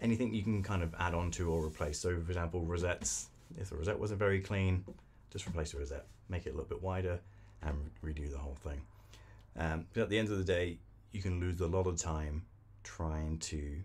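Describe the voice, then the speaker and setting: This man speaks at a fairly quick pace in a very deep, low voice that is somewhat breathy. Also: ordinary pitch variation. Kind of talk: casual workshop talk explaining practices. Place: workshop.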